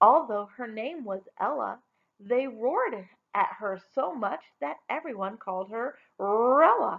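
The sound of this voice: The reader uses an unforced reading voice against a quiet background.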